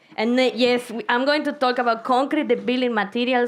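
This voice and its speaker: A woman with a Spanish accent at a very fast pace. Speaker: concrete researcher. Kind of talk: science slam talk. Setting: stage with audience. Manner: casual, animated.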